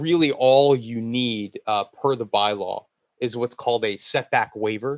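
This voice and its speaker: A man at a medium pitch and moderate pace, with fairly even intonation and a dry, close sound with no echo. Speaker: wind energy developer. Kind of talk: presentation to town board. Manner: loud.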